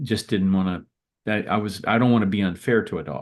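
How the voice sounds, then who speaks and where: This man has an unremarkable speaking voice pitched fairly low. His pitch moves in an ordinary way. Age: 60s. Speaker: attorney. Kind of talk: casual interview chat. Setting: video call.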